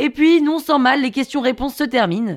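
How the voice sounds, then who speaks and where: Very fast speech comes from a woman. The recording is very clean, with a silent background. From Paris, France. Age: 30s. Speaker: podcast storyteller. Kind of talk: scripted narration.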